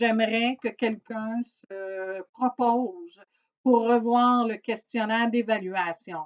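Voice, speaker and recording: Very slow speech from a woman, fairly high in pitch, her intonation fairly even. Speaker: organization coordinator. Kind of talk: recorded briefing to staff. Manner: hesitant, many fillers.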